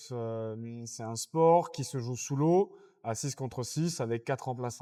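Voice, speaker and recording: Very slow speech in a dark, mellow tone comes through on a very clean recording with a silent background. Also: man, medium pitch for a man, ordinary pitch variation. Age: 20s. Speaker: underwater hockey athlete. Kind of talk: podcast interview.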